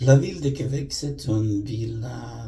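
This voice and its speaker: A man with a non-native accent speaks with lively intonation. Noticeable background noise and audible room echo come through. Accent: non-native French, says it shows. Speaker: vlogger. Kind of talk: personal storytelling monologue. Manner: halting, many hesitations.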